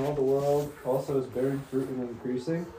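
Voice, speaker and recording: Noticeable background noise behind a man's voice of medium pitch. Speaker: bible study participant. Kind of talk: group discussion. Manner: casual.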